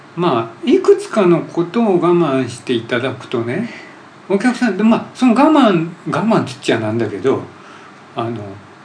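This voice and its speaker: Over noticeable background noise and audible room echo, a man speaks at a moderate pace in a high pitch. His loudness swings widely, and his pitch swings very widely. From Japan, Hamamatsu (Shizuoka). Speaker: podcast host. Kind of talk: casual interview.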